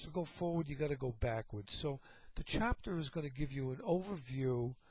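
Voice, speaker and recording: Speaking at a moderate pace, this voice carries an American accent. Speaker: teacher, lecturer on leadership. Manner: casual, conversational lecturing.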